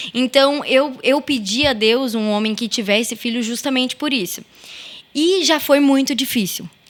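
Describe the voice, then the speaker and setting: High-pitched female voice with ordinary pitch variation at a fairly slow pace, amid noticeable background noise. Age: 20s. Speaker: mother and stepmother sharing her story. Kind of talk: podcast interview.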